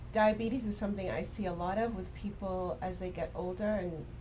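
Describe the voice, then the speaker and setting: A woman's fairly even intonation and fairly quick pace come across against noticeable background noise. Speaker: doctor, interviewer. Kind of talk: interview questions.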